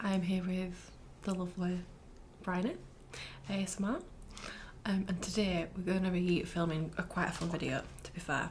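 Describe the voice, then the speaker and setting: The speaker uses a northern English accent and leaves long, frequent pauses. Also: moderate pace. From northern England. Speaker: ASMR creator. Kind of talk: casual chat.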